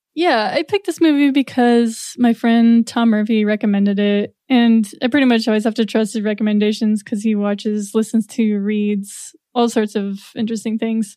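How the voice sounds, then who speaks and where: Speaking at a fairly quick pace, a woman has a fairly high pitch and an ordinary speaking voice. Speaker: podcast editor and musician. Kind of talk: casual chat.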